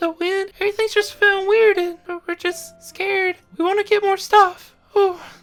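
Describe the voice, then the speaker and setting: Over music in the background, a man does a put-on character voice at an extremely high pitch, monotone and flat, at a moderate pace. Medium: actual play. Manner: nervous, stammering.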